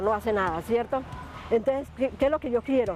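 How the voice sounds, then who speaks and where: Her lively intonation stays at a high pitch as the woman speaks. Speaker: street interviewee. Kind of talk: street interview.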